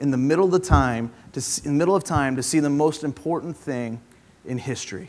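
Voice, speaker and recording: A man's speech moves fairly quickly, his pitch varying in an ordinary way. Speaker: preacher. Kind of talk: sermon. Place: church. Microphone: lapel.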